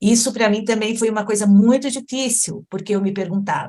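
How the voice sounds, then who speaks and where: A woman's voice at medium pitch with a dark, mellow tone. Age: 60s. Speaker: patient advocate. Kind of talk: testimony.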